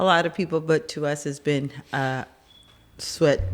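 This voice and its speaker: Speaking at a moderate pace with a Spanish accent, a woman uses fairly even intonation on a very clean recording with a silent background. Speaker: podcast host and business owner. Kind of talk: casual chat.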